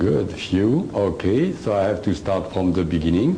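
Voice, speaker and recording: Noticeable background noise and audible room echo surround the recording. A man speaks at a fairly slow pace with lively intonation. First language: French. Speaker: alien contactee and author. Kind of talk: lecture. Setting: stage with audience. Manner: hesitant, many uhs.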